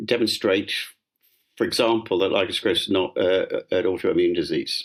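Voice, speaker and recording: A man talks at a fairly quick pace. His loudness stays very even. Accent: southern British. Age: 70s. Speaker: dermatologist. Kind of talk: interview. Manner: halting, many fillers.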